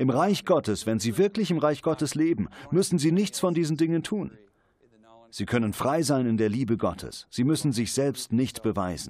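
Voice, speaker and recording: Using very wide pitch swings, a man with a fairly high pitch speaks in a warm tone. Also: moderate pace. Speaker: preacher. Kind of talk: sermon, preacher in full flow, direct address to the congregation. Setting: church with congregation, televised service. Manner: emphatic, rhythmic, driving repetition of "Sie müssen nicht..."; warm, earnest, pastoral.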